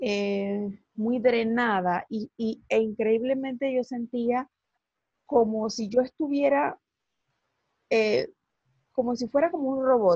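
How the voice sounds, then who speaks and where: A woman's fairly high voice, very slow, with long, frequent pauses, ordinary pitch variation, a dry, close sound with no echo and a quiet background. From Latin America. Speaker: psychologist and life coach, podcast host. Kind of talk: interview.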